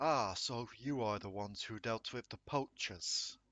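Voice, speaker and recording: A loud, booming put-on character voice from a man, medium in pitch, at a moderate pace. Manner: comforting.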